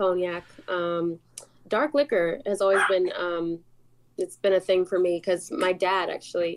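In a normal speaking voice with an American accent, a woman speaks at a fairly slow pace and medium pitch with ordinary pitch variation. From US South, Atlanta. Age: 20s. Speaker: singer-songwriter. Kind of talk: casual chat. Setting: studio.

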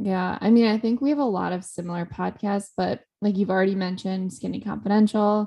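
Here is a woman with an ordinary speaking voice, medium pitch and ordinary pitch variation. She moves at a fairly quick pace with hardly any pauses. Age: 20s. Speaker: podcast co-host. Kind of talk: casual chat.

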